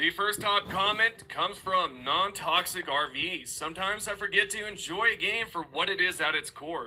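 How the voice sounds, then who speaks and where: A raised, projected voice at a moderate pace, with ordinary pitch variation and noticeable background noise. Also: man, high pitch for a man. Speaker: gaming YouTuber. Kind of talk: commentary reading viewer comments.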